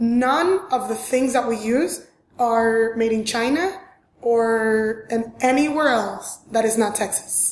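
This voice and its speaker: A woman with a strong Venezuelan accent at a fairly high pitch, very slow and very even in loudness, with ordinary pitch variation and audible room echo. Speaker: fashion designer. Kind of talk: interview. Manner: animated.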